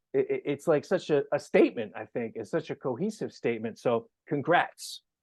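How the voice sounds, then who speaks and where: A man with a New York accent talks at a fairly quick pace. The sound is dry and close with no echo, and the background is quiet. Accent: New York American. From New York, US. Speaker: podcast host. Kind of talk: casual interview. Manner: animated.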